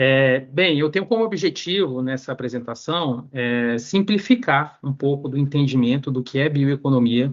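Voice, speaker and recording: A man's fairly high voice with ordinary pitch variation, at a moderate pace. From northern Brazil. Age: 30s. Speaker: economist, panel speaker. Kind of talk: academic talk. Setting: video call. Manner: halting, many fillers.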